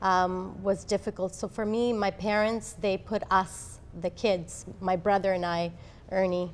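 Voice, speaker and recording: In a very clean recording with a silent background, a woman speaks at medium pitch with an Italian accent, at a fairly slow pace and in a monotone, flat intonation. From Italy (Abruzzo) and Canada. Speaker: law professor. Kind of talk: interview.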